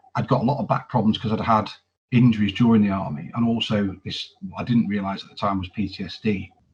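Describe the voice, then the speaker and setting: A man talks at a very fast pace, his fairly low voice somewhat breathy and his intonation fairly even. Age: 40s. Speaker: army veteran. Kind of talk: testimony. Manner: halting, frequent repetitions.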